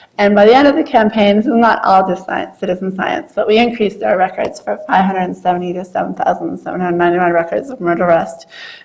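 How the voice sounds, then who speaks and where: Over noticeable background noise, a woman talks at a very fast pace with hardly any pauses, at a medium pitch with ordinary pitch variation. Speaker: scientist presenting at a workshop. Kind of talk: presentation talk.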